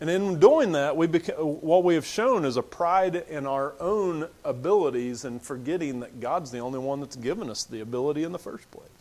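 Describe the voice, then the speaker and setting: A plain, everyday voice moves at a moderate pace with hardly any pauses and lively intonation. The loudness swings widely. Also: man, fairly high pitch for a man. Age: 40s. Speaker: preacher. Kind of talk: sermon.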